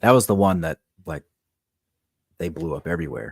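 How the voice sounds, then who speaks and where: In a very clean recording with a silent background, a man with an American accent and a very deep, low pitch talks at a fairly quick pace in a dry, close sound with no echo. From Texas, rural northeast. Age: 30s. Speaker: metal guitarist and singer. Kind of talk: casual chat.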